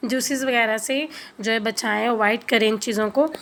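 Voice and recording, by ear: A woman speaks at a moderate pace with a fairly bright tone, fairly high pitch, and fairly even intonation.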